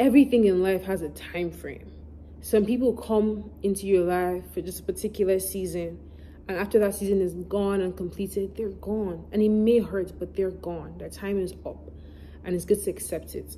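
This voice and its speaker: A woman mumbles at a moderate pace. Her loudness swings widely. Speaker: YouTuber answering fan questions. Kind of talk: casual Q&A vlog. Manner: words can run together, mumbled.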